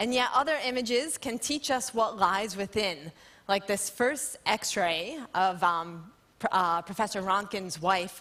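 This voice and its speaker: A loud woman's voice, bright and sharp in tone, with lively intonation at a fairly slow pace. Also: medium pitch for a woman. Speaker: scientist. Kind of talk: lecture. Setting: stage with audience.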